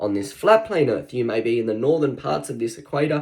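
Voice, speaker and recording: A man with an Australian accent, very wide pitch swings, and audible room echo. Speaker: online preacher. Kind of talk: sermon. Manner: halting, many fillers and repetitions.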